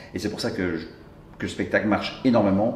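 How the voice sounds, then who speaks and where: With audible room echo, a man speaks at a fairly quick pace in a fairly low pitch. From Brussels, Belgium. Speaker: comedian. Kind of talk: interview.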